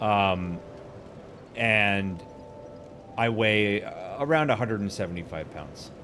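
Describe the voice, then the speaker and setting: A man's fairly low voice at a very slow pace, with long, frequent pauses, ordinary pitch variation, big swings in loudness, audible room echo and noticeable background noise. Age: 40s. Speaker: gaming streamer. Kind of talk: casual live stream chat while gaming. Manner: casual, filler-heavy.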